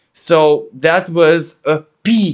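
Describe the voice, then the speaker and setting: A man speaks with a Romanian accent and a high pitch. His intonation stays fairly even. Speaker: astrologer. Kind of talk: spiritual talk.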